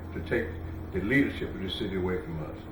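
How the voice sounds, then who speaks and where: This is a man speaking. There is audible room echo. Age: 80s+. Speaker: campaign manager and restaurant owner. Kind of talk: interview. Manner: animated.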